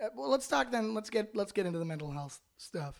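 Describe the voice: A man with a gravelly, high voice full of vocal fry talks at a fairly quick pace with big pitch swings.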